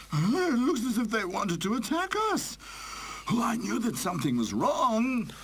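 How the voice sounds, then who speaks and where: At a moderate pace, a put-on character voice with fairly high pitch comes through over clear background noise. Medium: video game.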